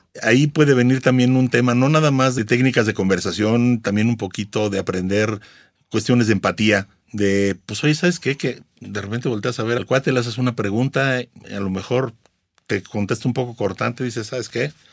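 In a very clean recording with a silent background, a man speaks at a moderate pace in a normal speaking voice, medium in pitch, with ordinary pitch variation. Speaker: blogger and content creator. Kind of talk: interview.

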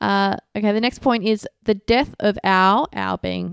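An ordinary speaking voice, at a moderate pace with fairly even intonation, comes through a very clean recording with a silent background and a dry, close sound with no echo. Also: woman. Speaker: podcast co-host. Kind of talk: casual chat. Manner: blunt, teasing.

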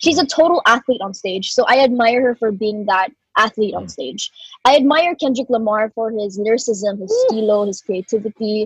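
A woman speaks at a fairly quick pace in a fairly high pitch, somewhat breathy. Her pitch varies in an ordinary way, and the sound is dry and close with no echo. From Philippines. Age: 20s. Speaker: rapper. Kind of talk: interview.

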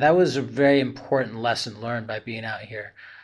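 A man with an American accent uses a normal speaking voice at a medium pitch with fairly even intonation, against a quiet background. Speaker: entrepreneur. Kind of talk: interview.

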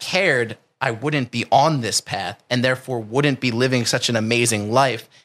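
In an American accent, a man with a medium pitch speaks at a moderate pace and fairly even intonation on a very clean recording with a silent background. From New Jersey. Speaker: calisthenics coach. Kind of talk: casual interview chat. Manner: intense, forceful.

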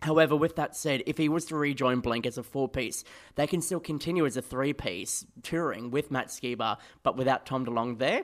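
A man with an Australian accent talks at a fairly quick pace, his pitch fairly high with ordinary variation. The recording is very clean, with a silent background. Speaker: podcast host, music fan. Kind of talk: casual chat.

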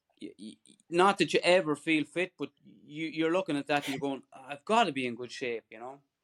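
A man's fairly high voice at a fairly quick pace, with ordinary pitch variation, big swings in loudness, an Irish accent and a dry, close sound with no echo. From Ireland. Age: 40s. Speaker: ultra runner. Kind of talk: casual chat.

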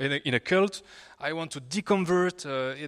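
A man speaks with a French accent. His pace is fairly slow. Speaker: YouTuber. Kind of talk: panel discussion. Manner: halting.

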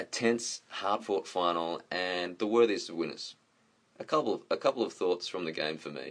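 At a moderate pace, a man talks in an Australian accent. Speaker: podcast co-host. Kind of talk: recorded segment, commentary.

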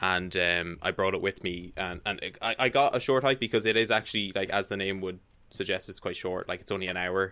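A man with an Irish accent speaks at a fairly quick pace in a very deep, low voice, his intonation fairly even. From Ireland. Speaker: gaming website guest. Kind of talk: casual chat.

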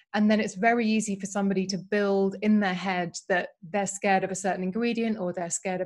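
A woman at medium pitch talks at a fairly quick pace. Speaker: beauty writer and podcast host. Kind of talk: casual interview chat. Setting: video call. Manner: excited, enthusiastic.

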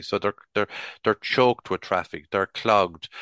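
A man with a Tipperary accent speaks in a bright, sharp tone. The sound is dry and close with no echo, over a quiet background. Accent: Irish, Tipperary. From Ireland, Clonmel, County Tipperary. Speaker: retired local government chief executive. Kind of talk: interview. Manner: halting, many repeated words.

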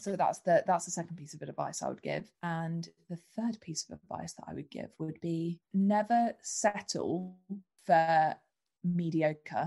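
The speaker has a London accent and a dark, mellow tone. The delivery is fairly slow and somewhat breathy. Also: woman, fairly low pitch for a woman, ordinary pitch variation. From London, England. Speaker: entrepreneur. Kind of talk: podcast interview.

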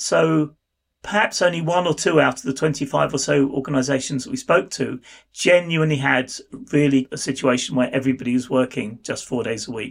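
A man with a British accent and a fairly high pitch. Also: ordinary pitch variation, fairly quick pace. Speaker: university researcher. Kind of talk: interview.

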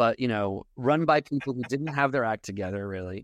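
A man with an American accent and a normal speaking voice talks at a fairly quick pace and medium pitch. His intonation is lively over a quiet background. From New York, Long Island. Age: 50s. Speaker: comedian. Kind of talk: casual chat.

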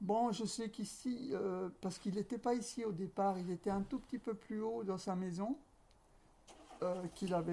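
Lively intonation from a woman at medium pitch and a moderate pace. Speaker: textile shop owner. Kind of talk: interview. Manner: halting.

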